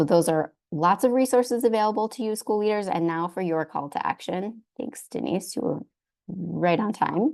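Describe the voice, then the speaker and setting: A woman speaks in a plain, everyday voice, pitched mid-range. Her intonation is lively, and her speed is moderate. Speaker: arts education advocate presenter. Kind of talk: webinar presentation. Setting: video call.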